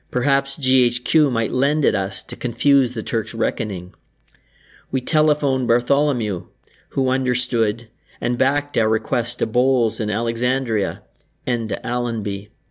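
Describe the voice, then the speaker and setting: With a plain, everyday voice, a man speaks at a medium pitch and moderate pace, using fairly even intonation against a quiet background. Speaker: audiobook narrator. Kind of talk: literary audiobook reading of a war memoir. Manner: measured, formal narration.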